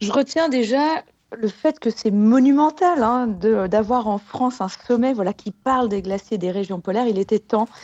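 A woman's normal speaking voice, with lively intonation at a fairly slow pace. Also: fairly high pitch for a woman. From Haute-Savoie, French Alps. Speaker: glaciologist. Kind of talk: radio interview.

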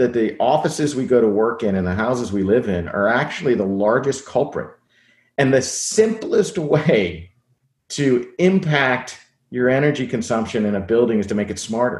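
At a moderate pace, a man talks in a normal speaking voice at a medium pitch with lively intonation. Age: 50s. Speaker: tech company CEO. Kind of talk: interview.

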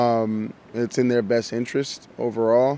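Speaking at a very slow pace, a man holds a medium pitch in a monotone, flat delivery. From Miami. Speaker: actor. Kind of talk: interview.

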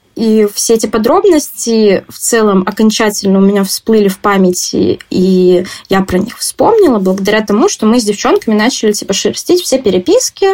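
With a normal speaking voice, a woman speaks at a moderate pace in a fairly high pitch with ordinary pitch variation. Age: 20s. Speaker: interviewee. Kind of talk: personal testimony.

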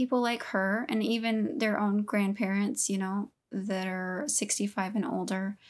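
On a very clean recording with a silent background, a woman with an American accent and a plain, everyday voice speaks in a medium pitch with ordinary pitch variation, at a fairly slow pace with hardly any pauses. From Southeast Texas. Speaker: podcast co-host. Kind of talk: casual chat.

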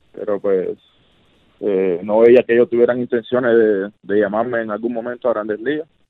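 This is a man speaking at a medium pitch. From Cuba (Havana). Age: 30s. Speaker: professional baseball pitcher. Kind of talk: interview.

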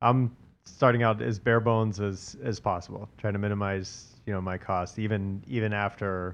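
An unremarkable speaking voice with an American accent and fairly even intonation. The pace is moderate. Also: man. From US South, Atlanta. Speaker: commercial real estate broker. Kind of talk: casual interview.

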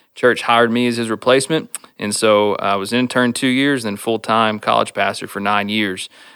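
In a Texan accent, a man talks fairly quickly at a medium pitch with fairly even intonation. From Stephenville, Texas. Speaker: church planting candidate and college minister. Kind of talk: casual interview.

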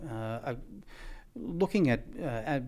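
In a very clean recording with a silent background, a man talks with an Australian accent. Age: 50s. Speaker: equipment company managing director. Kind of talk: interview. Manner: halting, many fillers.

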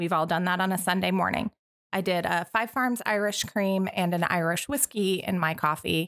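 This woman has an ordinary speaking voice, medium pitch and an American accent. She moves at a fairly quick pace with ordinary pitch variation. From Montana. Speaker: guest co-host. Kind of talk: casual chat.

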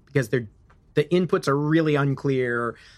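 This man has a fairly high pitch and an American accent. His is a plain, everyday voice. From US Midwest. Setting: remote interview from California.

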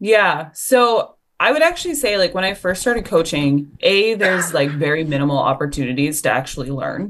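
A woman speaks with a Western Canadian accent at a moderate pace and fairly low pitch. Her pitch swings very widely, with hardly any pauses. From Canada, rural Alberta. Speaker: football coach. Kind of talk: casual interview.

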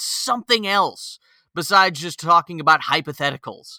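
A man with an American accent speaks at a moderate pace, his high voice bright and sharp in tone. The recording is very clean, dry and close, with no echo and a silent background. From Toledo, Ohio (born California, Tennessee roots). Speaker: podcast host. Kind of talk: casual chat. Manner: animated.

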